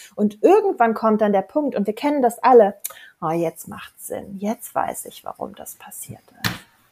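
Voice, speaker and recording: The woman's tone is animated, with big swings in loudness. Her pace is moderate. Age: 40s. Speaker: life coach, former architect. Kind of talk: casual chat.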